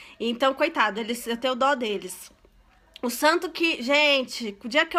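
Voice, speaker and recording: A woman with a high pitch uses a raised, projected voice and a bright, sharp tone. She keeps a moderate pace with ordinary pitch variation on a very clean recording with a silent background. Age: 30s. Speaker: online religious presenter. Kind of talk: live stream prayer talk. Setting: live stream from home. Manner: animated.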